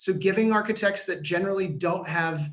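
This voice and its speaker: A man speaks with a Washington D.C. accent. His pace is fairly quick and his intonation fairly even. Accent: American (Washington D.C.). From US, Washington D.C. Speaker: startup founder. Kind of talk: sales pitch.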